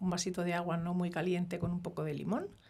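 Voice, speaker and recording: A woman is talking. Her pace is fairly quick. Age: 60s. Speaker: microbiota expert doctor. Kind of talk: interview. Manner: halting.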